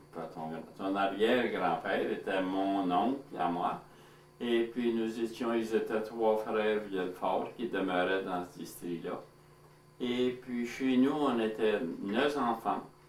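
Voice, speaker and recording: A man speaking at a very slow pace, with ordinary pitch variation, audible room echo and noticeable background noise. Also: medium pitch for a man. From Manitoba, Franco-Manitoban (La Broquerie). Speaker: elderly community member, former farmer. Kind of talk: oral history interview.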